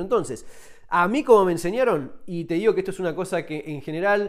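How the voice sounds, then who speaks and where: Against a quiet background, a man with a Rioplatense accent talks at a fairly quick pace in a high pitch with lively intonation. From Argentina. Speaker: survival and firearms YouTuber, author. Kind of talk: tutorial. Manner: casual, conversational. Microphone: phone near.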